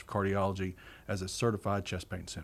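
Talking at a very fast pace, a man speaks with a Southern US accent. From rural eastern Arkansas. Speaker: hospital chief executive. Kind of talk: interview. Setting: on location at a hospital.

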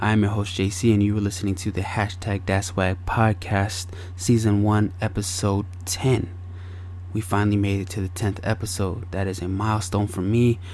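A somewhat breathy man with an American accent and a fairly low pitch speaks in a monotone, flat intonation. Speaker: podcast host. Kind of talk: fervent prayer, opening the show with a spoken prayer; podcast monologue, solo address. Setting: home recording with air purifier noise. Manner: earnest, heavy-hearted, reverent.

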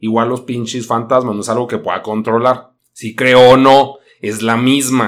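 A man's voice sits at medium pitch. He speaks at a moderate pace. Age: 30s. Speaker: podcast host and streamer. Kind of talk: casual monologue. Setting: live stream. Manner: animated.

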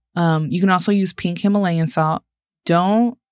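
A woman with an American accent and an ordinary speaking voice, medium in pitch, with ordinary pitch variation, on a very clean recording with a silent background. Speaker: podcast co-host. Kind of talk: casual podcast conversation.

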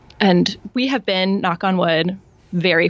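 A woman's fairly low voice with an American accent. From US Midwest. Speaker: podcast host and parent. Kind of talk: casual interview chat. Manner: measured and focused.

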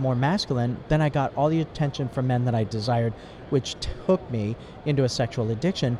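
A man talks at a very fast pace in a medium pitch. There is noticeable background noise. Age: 60s. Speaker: ministry worker. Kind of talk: testimony. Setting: mobile studio in convention exhibit hall.

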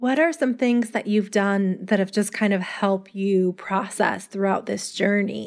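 Speaking in a plain, everyday voice with hardly any pauses, a woman keeps a medium pitch and ordinary pitch variation in a very clean recording with a silent background. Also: fairly slow pace, very even loudness. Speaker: podcast host. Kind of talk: podcast interview and scripted intro.

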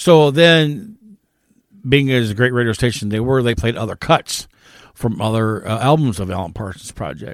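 With a Midwestern American accent, a man speaks at a medium pitch with lively intonation. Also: moderate pace. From US Midwest, northern Indiana. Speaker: podcast co-host. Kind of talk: casual chat.

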